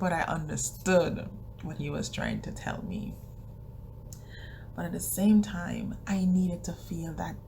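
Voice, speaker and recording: Against noticeable background noise, a woman talks at a fairly slow pace, leaving long, frequent pauses. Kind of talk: casual talk to camera.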